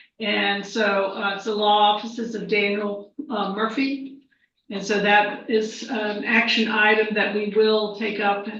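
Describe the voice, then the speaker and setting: There is audible room echo around a woman whose pitch is fairly high. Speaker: school superintendent. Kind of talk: board meeting report. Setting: board meeting.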